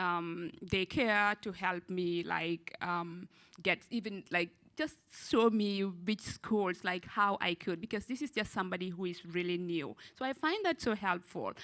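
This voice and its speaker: A woman with a non-native accent speaks at a medium pitch. Her pace is fairly slow, and her pitch varies in an ordinary way. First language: not English. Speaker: student parent panelist. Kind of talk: panel discussion.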